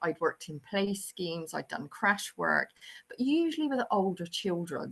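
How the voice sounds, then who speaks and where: A woman with a Bristol accent, medium pitch and lively intonation, at a moderate pace against a quiet background. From England, Bristol. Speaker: early years lecturer and researcher. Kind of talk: webinar presentation. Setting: online webinar with screen sharing.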